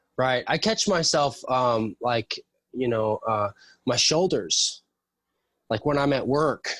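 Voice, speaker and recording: Speaking very slowly with long, frequent pauses, a man at medium pitch uses lively intonation and very even loudness, the sound dry and close with no echo on a very clean recording with a silent background. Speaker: tradesman and jiu-jitsu practitioner. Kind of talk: casual chat. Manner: soft-spoken.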